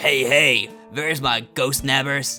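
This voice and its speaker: Putting on a character voice at a medium pitch, a man speaks at a fairly slow pace while clear music plays in the background. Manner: jovial, hearty greeting.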